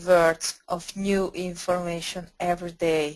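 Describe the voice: A woman speaks in a fairly low voice with little pitch movement.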